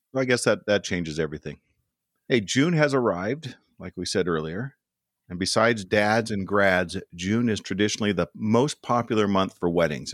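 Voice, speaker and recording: A man with an American accent talks at a fairly quick pace in a very deep, low pitch with lively intonation. The sound is dry and close with no echo, on a very clean recording with a silent background. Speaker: podcast host. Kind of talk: casual chat.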